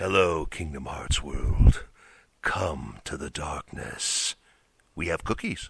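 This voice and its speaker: A man puts on a character voice, speaking at a very slow pace with a very deep, low pitch. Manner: dark, menacing, playful.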